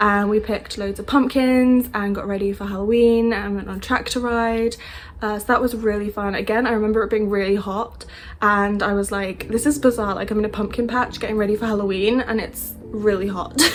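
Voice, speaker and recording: A woman talks at a fairly quick pace in a British accent. Her pitch is fairly high. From England. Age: 20s. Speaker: au pair. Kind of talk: casual talk to camera. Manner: upbeat.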